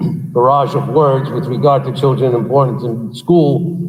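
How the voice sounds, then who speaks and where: A man talks at a fairly slow pace in a fairly high voice with ordinary pitch variation. The room's echo is audible. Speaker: school superintendent. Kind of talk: public meeting address. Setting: big room. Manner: loud; passionate.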